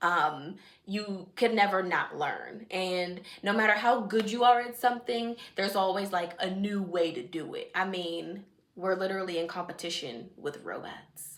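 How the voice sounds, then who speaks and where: Over noticeable background noise and audible room echo, a woman with an American accent speaks at a medium pitch and a moderate pace in an animated tone with ordinary pitch variation. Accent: shifts into Jamaican dialect at times. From Washington DC area, Jamaican family. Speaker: vlogger, nail technician. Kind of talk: casual vlog chat.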